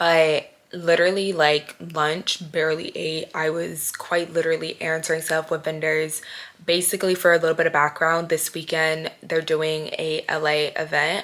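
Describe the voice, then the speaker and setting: A woman speaks in a very deep, low pitch. Her intonation stays monotone and flat. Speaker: vlogger and podcaster. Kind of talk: casual vlog talk to camera. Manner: stumbling over words.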